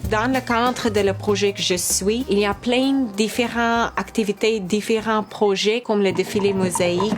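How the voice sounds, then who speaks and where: With a non-native accent, a woman speaks at a medium pitch and a fairly slow pace, her intonation fairly even, while music plays in the background. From South Africa. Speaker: textile and visual artist. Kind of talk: testimony.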